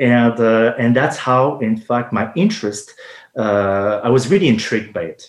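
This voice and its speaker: A man at a moderate pace and a medium pitch. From France. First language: French. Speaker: homeopathic pharmacist. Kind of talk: interview. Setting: live radio show, remote.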